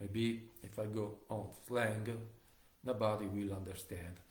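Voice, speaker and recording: With an Italian accent, a man speaks at a very slow pace with fairly low pitch in a monotone, flat intonation. His voice is somewhat breathy, with audible room echo. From Italy. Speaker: live streamer. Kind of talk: casual monologue. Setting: home kitchen livestream. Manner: halting.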